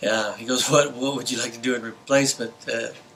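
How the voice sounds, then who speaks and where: A man's bright, sharp voice with an American accent and a flat, monotone delivery. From New Mexico, US (Las Cruces). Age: 60s. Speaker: former pro motocross racer. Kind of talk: interview storytelling. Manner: hesitant, with fillers.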